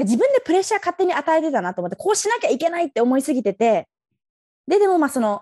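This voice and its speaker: A woman with a dark, mellow tone speaks at a very fast pace with very wide pitch swings. The sound is dry and close, with no echo. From Tokyo, Japan. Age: 20s. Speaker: dancer. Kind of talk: interview. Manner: casual, laughing.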